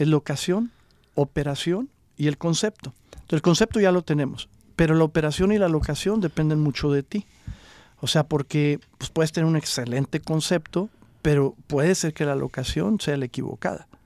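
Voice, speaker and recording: A normal speaking voice from a man, fairly high in pitch with ordinary pitch variation, at a moderate pace, in a very clean recording with a silent background and a dry, close sound with no echo. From Mexico, Coahuila (Acuña). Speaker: entrepreneur, juice bar franchise owner. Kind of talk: interview, casual chat.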